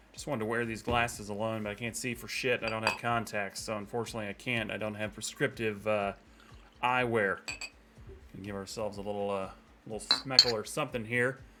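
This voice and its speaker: Music plays in the background. A man with a medium-pitched voice speaks at a fairly quick pace. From United States. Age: 30s. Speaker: football fan vlogger. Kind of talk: casual rant. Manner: animated.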